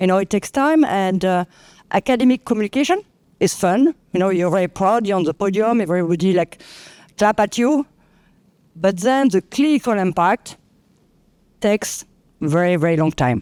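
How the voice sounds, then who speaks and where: The speaker has a French accent and lively intonation, moving at a moderate pace with long, frequent pauses. Loudness stays very even on a very clean recording with a silent background. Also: woman, medium pitch for a woman. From France. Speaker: clinical researcher. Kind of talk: panel discussion.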